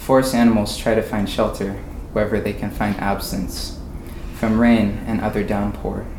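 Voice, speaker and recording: A man at a medium pitch in a monotone, flat intonation, at a moderate pace, with audible room echo and noticeable background noise. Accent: American. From Oregon. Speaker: college student. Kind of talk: poetry reading. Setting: stage with audience at a winery.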